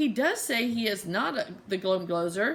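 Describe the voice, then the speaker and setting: A woman puts on a nasal character voice at a fairly high pitch, speaking at a moderate pace. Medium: read story. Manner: odd grammar, suspicious.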